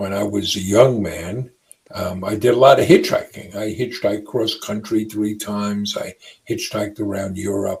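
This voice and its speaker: A man talks in a fairly low, somewhat breathy voice. His intonation stays monotone and flat. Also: moderate pace, big swings in loudness. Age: 60s. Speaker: entrepreneur. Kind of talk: interview.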